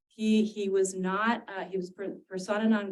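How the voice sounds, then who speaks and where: A woman talks at a medium pitch. Her pitch variation is ordinary. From San Diego, California. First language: Spanish. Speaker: university dean and professor. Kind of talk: talk to retirees association.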